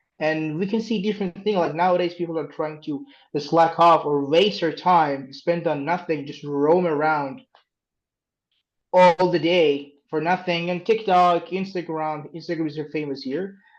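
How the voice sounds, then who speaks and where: A man's high-pitched voice, fairly slow in pace, with fairly even intonation. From Iran. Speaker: English teacher. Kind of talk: interview.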